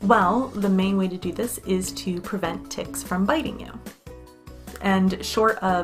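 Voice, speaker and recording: A woman with an American accent speaks over music in the background. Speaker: English teacher. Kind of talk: casual educational talk to camera.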